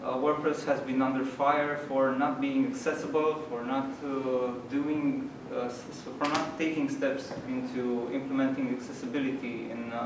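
Noticeable background noise and audible room echo accompany a man speaking at a fairly slow pace with ordinary pitch variation. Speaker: meetup host presenting news. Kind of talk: presentation talk. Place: hall. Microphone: camera far.

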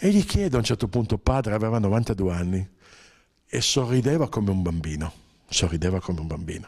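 Lively in intonation and fairly low in pitch, a man talks at a fairly quick pace with long, frequent pauses against a quiet background. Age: 60s. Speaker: journalist and author; journalist. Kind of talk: interview. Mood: warm, anecdotal, smiling. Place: meeting room. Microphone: handheld.

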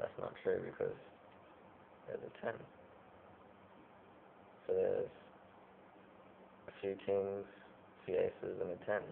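The man's voice is extremely high in pitch. He talks in a monotone, flat way over light background noise. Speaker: amateur magician. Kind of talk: casual card trick demonstration to camera. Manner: dull, flat. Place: home room. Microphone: webcam.

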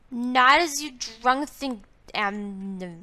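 With lively intonation, a woman talks in a high register. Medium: machinima. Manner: cocky, rambling, slurred.

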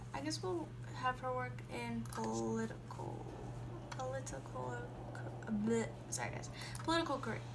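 Moderately paced speech from a woman, with noticeable background noise. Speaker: gaming YouTuber. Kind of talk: casual gameplay commentary. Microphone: phone near.

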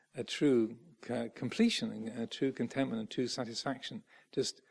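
At a fairly quick pace, a man speaks in an English accent with ordinary pitch variation. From England. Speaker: Buddhist monk; Buddhist monk teacher. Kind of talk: dharma talk. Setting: monastery. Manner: halting. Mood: calm, warm.

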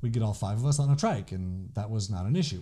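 A man speaks very fast. His voice has a dark, mellow tone and is somewhat breathy. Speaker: podcast host. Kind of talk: casual podcast talk. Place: office. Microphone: studio mic.

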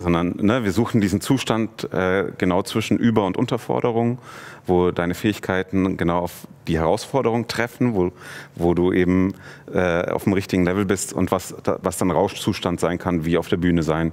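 This man's voice is very deep and low, with ordinary pitch variation. He keeps a moderate pace at a very even loudness. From Munich, Germany. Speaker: film director; guest. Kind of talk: casual interview. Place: studio.

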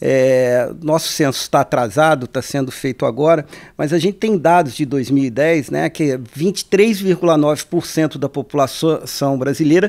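A man's fairly slow speech, with ordinary pitch variation, comes through over a quiet background. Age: 50s. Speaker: radio podcast host. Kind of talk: interview. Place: studio. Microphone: studio mic.

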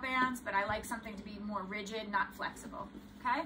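A woman's fairly even intonation comes through with noticeable noise in the background. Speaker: yoga instructor. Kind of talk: tutorial. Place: home room. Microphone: camera far.

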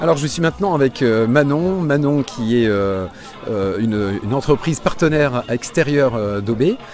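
Over faint background noise, a man at medium pitch speaks at a moderate pace with lively intonation and a slightly mellow tone.

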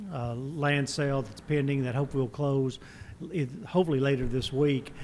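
With light noise behind him, a man goes at a fairly quick pace, his intonation monotone and flat. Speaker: chamber representative giving report. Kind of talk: formal report to council. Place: meeting room. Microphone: podium.

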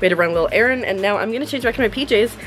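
A woman speaks over faint music in the background. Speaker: vlogger, streamer. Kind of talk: casual vlog chat. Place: home room.

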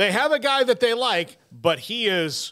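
Against a quiet background, a man talks very slowly in a raised, projected voice, his pitch swinging very widely. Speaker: sports radio host. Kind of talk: commentary. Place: studio. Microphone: studio mic.

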